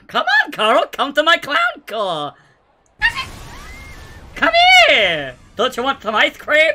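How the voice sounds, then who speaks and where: Doing a put-on character voice, a man speaks at an extremely high pitch and a fairly slow pace, with long, frequent pauses. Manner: creepy, coaxing.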